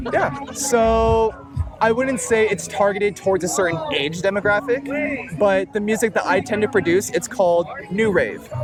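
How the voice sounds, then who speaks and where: Music plays behind a man speaking. His pitch is high and his loudness very even. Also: ordinary pitch variation, moderate pace. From Filipino family background. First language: Tagalog. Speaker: music producer. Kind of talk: casual interview. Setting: outdoors at the beach.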